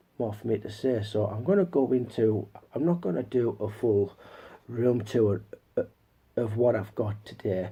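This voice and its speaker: Fairly low in pitch with a dark, mellow tone, a man's somewhat breathy voice moves at a moderate pace with ordinary pitch variation and long, frequent pauses. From northern England, Newcastle area. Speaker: YouTuber, movie collector. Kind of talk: casual haul video talk. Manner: halting, many repeats and fillers.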